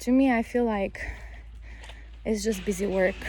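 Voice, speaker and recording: A woman speaks at a fairly high pitch with fairly even intonation. There is noticeable background noise. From Bulgaria. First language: Bulgarian. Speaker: vlogger, mother and English teacher. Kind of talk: casual vlog monologue. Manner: halting, with frequent self-corrections.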